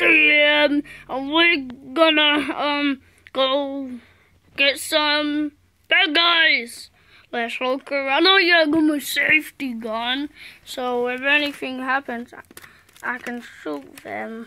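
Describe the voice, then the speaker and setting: A high-pitched, cartoonish character voice speaks at a very slow pace with long, frequent pauses. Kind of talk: improvised puppet play. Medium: puppet. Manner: excited, playful.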